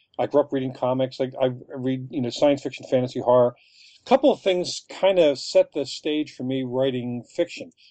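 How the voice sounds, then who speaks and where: In an American accent, a plain, everyday voice moves at a fairly quick pace with fairly even intonation. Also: man, medium pitch for a man. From Philadelphia, Kensington. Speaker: author. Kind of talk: interview.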